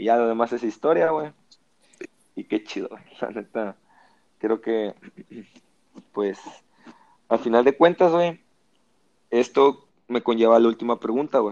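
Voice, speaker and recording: With long, frequent pauses, a man speaks at a fairly slow pace and medium pitch, his pitch varying in an ordinary way, in a dry, close sound with no echo. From Mexico, Lerdo, Durango. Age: 20s. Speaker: podcast host. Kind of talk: casual chat.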